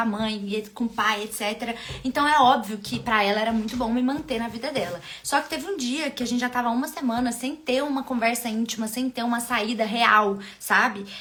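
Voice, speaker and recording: Noticeable background noise sits behind a woman's voice. She speaks at a fairly high pitch and a fairly quick pace. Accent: mineiro. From Minas Gerais, Brazil. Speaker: love and relationship coach. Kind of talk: live stream talk to viewers. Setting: live stream.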